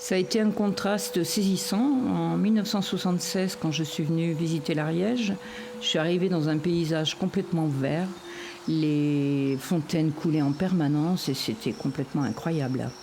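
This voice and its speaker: Over noticeable background noise, a woman with a fairly low pitch speaks at a moderate pace with very even loudness and lively intonation. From western France (Anjou), farm family. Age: 60s. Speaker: foster carer, former beekeeper. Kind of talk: personal testimony interview. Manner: hesitant with repetitions.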